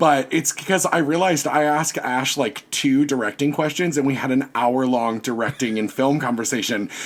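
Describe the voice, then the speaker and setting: With an American accent and an animated tone, a man speaks at a moderate pace and medium pitch, with ordinary pitch variation. He takes hardly any pauses, and there is noticeable background noise. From US South, Virginia. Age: 30s. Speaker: podcast guest, costume designer and teacher. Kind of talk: casual chat.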